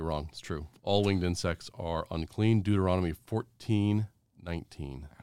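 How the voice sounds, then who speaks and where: A man speaks with an American accent at a moderate pace, his pitch very deep and low with ordinary variation. His tone is dark and mellow, and the sound is dry and close with no echo. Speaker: theology professor and former naval officer. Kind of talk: interview conversation.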